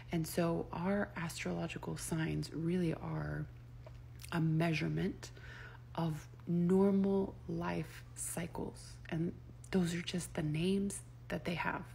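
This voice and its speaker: A woman speaks. Her voice carries audible room echo. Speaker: astrology and human design content creator. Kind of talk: casual monologue to camera. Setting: in bed at night. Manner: soft-spoken; casual with frequent fillers.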